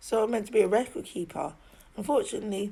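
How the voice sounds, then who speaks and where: A woman's medium-pitched voice with a southern English accent. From England, Oxford. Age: 30s. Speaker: video diarist. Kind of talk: personal video diary monologue. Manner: halting, repetitive.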